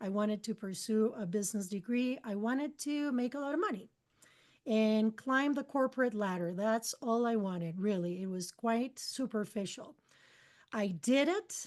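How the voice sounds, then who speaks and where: Speaking at a moderate pace with a Spanish accent, the voice shows ordinary pitch variation. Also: woman, fairly high pitch for a woman. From Costa Rica. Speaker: spiritual mentor and channeler. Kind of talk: interview. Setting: podcast interview.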